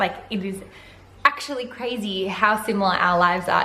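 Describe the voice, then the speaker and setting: A woman of medium pitch speaks at a moderate pace, with audible room echo. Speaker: vlogger. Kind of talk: casual vlog monologue. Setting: home living room. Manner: loud; animated.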